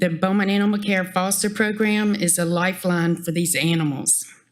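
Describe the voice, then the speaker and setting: A woman's shaky, medium-pitched voice holds a monotone, flat intonation. Audible room echo surrounds her. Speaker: animal shelter volunteer. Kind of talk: public comment at council meeting. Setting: council chamber podium.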